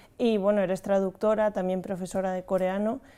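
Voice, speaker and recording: A woman's dark, mellow voice at a moderate pace, monotone and flat, on a very clean recording with a silent background. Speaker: podcast host. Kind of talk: interview. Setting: studio.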